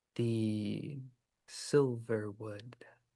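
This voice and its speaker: This man is soft-spoken, with a medium pitch. He puts on a character voice. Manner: soft, quiet, gentle.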